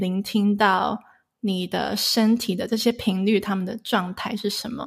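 A somewhat breathy woman's voice, fairly high-pitched, at a fairly slow pace with fairly even intonation, on a very clean recording with a silent background. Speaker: sound healer. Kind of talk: interview. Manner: hesitant fillers.

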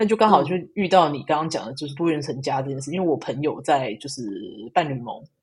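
Very fast and somewhat breathy, the voice shows big swings in loudness and ordinary pitch variation. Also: woman, very deep, low pitch for a woman. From Taiwan. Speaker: engineering program manager. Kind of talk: casual interview.

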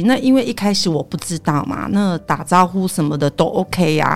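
Over music in the background, a woman with a Taiwanese accent speaks at a fairly low pitch and a fairly quick pace, her intonation lively. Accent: Taiwanese Mandarin. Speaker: tour leader and Japanese interpreter. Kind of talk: casual chat.

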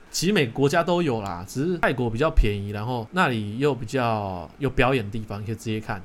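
A man talks at a fairly quick pace with hardly any pauses, using an ordinary speaking voice. His pitch is medium and his intonation lively. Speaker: podcast host. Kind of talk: casual chat.

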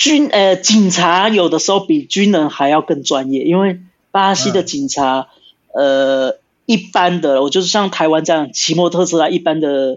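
A man with a slight Brazilian accent speaks at a moderate pace in a high pitch. His intonation is lively and his loudness very even. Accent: slight Brazilian accent in Mandarin. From Brazil (São Paulo), Brazilian-Taiwanese. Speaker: former soldier and police officer. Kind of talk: casual interview. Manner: halting.

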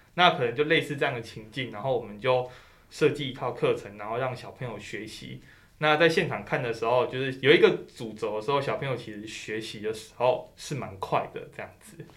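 At a fairly quick pace, a man talks in a plain, everyday voice of medium pitch with ordinary pitch variation. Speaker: graduate student. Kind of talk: interview. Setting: studio.

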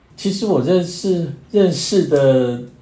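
A man talks with ordinary pitch variation. Noticeable background noise and audible room echo are present. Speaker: long-term HIV patient. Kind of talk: casual chat.

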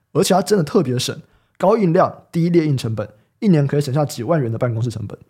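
With lively intonation and a dark, mellow tone, a man talks at a very fast pace in a fairly high, somewhat breathy voice. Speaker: podcast host. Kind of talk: casual chat. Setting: studio.

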